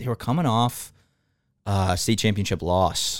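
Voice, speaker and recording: Recorded very cleanly over a silent background, a man speaks in an ordinary speaking voice at medium pitch. His pace is moderate and his pitch variation ordinary. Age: 20s. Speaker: podcast guest.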